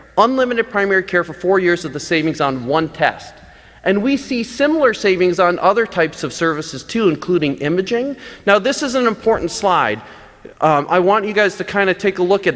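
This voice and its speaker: A man's high-pitched voice with lively intonation at a fairly quick pace, over noticeable background noise. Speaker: physician. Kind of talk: conference talk. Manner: fast; animated.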